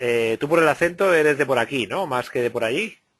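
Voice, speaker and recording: A man's fairly high, fairly slow voice, an unremarkable speaking voice with ordinary pitch variation. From Spain, Valencia. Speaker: interviewer. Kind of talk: interview.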